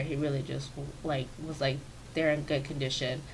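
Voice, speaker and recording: A woman's very deep, low voice in a monotone, flat delivery at a moderate pace, with audible room echo. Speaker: gaming YouTuber. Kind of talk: voiceover commentary for a build video. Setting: home office. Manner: casual, filler-heavy.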